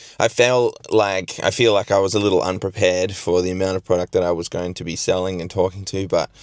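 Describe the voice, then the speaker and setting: With an Australian accent, a man speaks at a moderate pace with ordinary pitch variation in a dry, close sound with no echo. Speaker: gardening vlogger. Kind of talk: vlog. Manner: casual with fillers.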